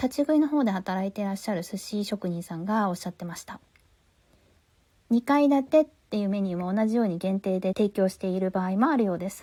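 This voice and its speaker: A woman talks with lively intonation in a dark, mellow tone that is somewhat breathy. The sound is dry and close, with no echo. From Tokyo, Japan. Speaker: podcast host. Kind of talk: casual podcast review talk.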